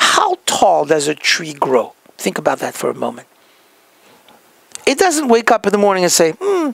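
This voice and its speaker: Speaking in a French accent, a man pauses long and often. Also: moderate pace. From France. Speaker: healthcare practice consultant. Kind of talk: motivational talk.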